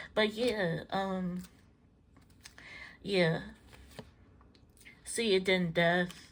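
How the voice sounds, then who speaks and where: A woman speaks at medium pitch and a very slow pace, with fairly even intonation. The recording is very clean, with a silent background. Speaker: tarot reader and psychic medium. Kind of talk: tarot reading to camera. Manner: halting, stumbling over words; casual, improvised.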